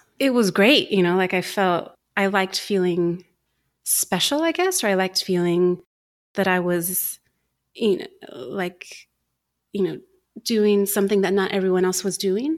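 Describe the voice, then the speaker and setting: Very even loudness, long and frequent pauses, and ordinary pitch variation. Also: woman, medium pitch for a woman, moderate pace, very clean recording, silent background. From US, Mexican-American, schooled partly in England. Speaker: educator and producer. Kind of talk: casual chat. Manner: halting, many fillers and restarts.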